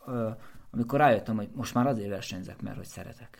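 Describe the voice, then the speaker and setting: Medium in pitch with ordinary pitch variation, a man talks in an unremarkable speaking voice. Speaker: race walker and runner, coach. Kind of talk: casual chat.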